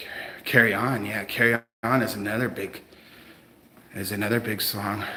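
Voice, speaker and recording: A man's monotone, flat delivery at a moderate pace, with big swings in loudness and long, frequent pauses. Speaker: first amendment auditor livestreamer. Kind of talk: live stream chat with viewers. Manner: casual, hesitant with many fillers.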